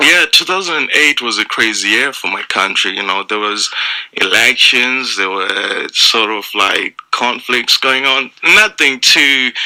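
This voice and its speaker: Noticeable background noise sits behind a man with a Zimbabwean accent. He speaks at a fairly slow pace with lively intonation. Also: medium pitch for a man. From Zimbabwe, Mutare. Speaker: stand-up comedian. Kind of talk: radio interview. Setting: radio studio.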